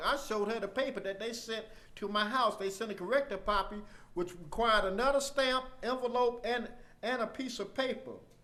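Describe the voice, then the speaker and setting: A man with a high pitch projects his voice, raised and loud. He moves at a fairly quick pace with ordinary pitch variation. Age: 60s. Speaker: community activist, military veteran. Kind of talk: public comment at a county meeting. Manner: halting.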